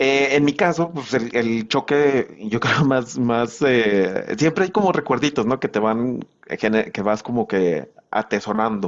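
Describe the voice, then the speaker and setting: The speech runs on with hardly any pauses. Its intonation is lively. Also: man, medium pitch for a man, fairly slow pace. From Mexico, not central Mexico, later Monterrey. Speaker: accountant and filmmaker. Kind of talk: interview podcast conversation. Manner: halting, many fillers.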